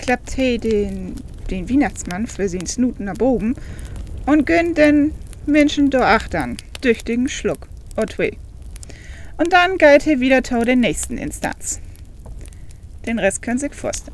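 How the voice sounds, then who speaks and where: Against noticeable background noise, a woman speaks at a fairly slow pace with long, frequent pauses, her high pitch making very wide swings. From Northern Germany.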